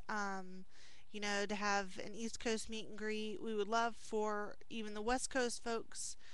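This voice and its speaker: A woman speaks at a fairly slow pace. Her intonation is monotone and flat, and the sound is dry with no echo. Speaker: video blogger replying to a viewer. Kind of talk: casual vlog chat. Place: office. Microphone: headset.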